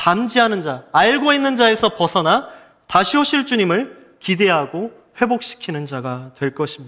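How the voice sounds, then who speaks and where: A man's high voice with very wide pitch swings at a moderate pace. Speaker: pastor. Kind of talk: sermon. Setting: church.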